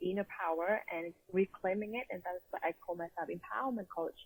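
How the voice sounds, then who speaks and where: Recorded with a dry, close sound and no echo, a woman speaks at a medium pitch with a Vietnamese accent and ordinary pitch variation. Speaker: empowerment coach. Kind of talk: interview.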